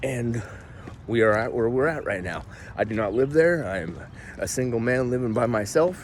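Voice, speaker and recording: Amid noticeable background noise, the voice moves at a moderate pace with lively intonation. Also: man. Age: 40s. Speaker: vlogger. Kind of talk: personal vlog monologue. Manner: casual.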